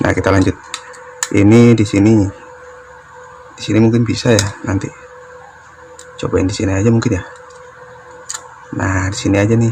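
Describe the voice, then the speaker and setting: A man's fairly low, monotone voice at a fairly quick pace, broken by long, frequent pauses, over noticeable background noise. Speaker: DIY electronics youtuber. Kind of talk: tutorial. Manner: casual thinking aloud.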